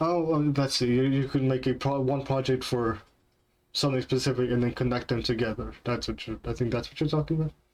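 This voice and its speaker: A man with a non-native accent talks at a fairly quick pace. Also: medium pitch for a man, fairly even intonation. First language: not English. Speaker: game developer streamer. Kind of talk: live stream chat while coding. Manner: halting, many fillers.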